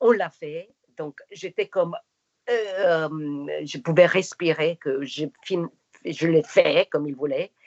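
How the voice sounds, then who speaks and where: A woman with a non-native accent speaks at a very slow pace in a fairly low voice. Her pitch varies in an ordinary way while her loudness swings widely. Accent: foreign accent in French and English. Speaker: actress. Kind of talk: interview.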